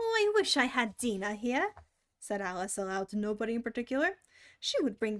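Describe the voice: The speech is plain reading aloud. The background is quiet.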